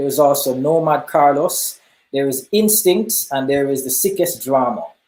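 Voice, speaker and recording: A man with a Jamaican accent, fairly high pitch, ordinary pitch variation, a dark, mellow tone and a moderate pace. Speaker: hip hop artist. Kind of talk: interview.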